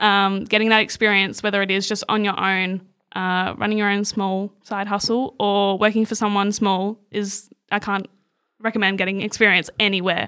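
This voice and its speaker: In an Australian accent, a woman speaks at medium pitch in a bright, sharp tone with monotone, flat intonation, recorded very cleanly against a silent background. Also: moderate pace. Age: 20s. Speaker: social media coordinator. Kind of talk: interview.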